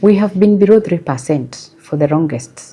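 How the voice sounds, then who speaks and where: The voice is soft-spoken and dark, mellow in tone, moving at a fairly slow pace with lively intonation. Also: woman. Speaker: SACCO chief executive. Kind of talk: interview answer.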